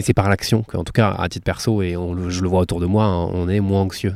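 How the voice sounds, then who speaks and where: A man talks at a fairly quick pace in a fairly low voice with fairly even intonation. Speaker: podcaster interviewing the host. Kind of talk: interview questions. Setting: outdoors in a garden. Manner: raised voice to cover surrounding sounds.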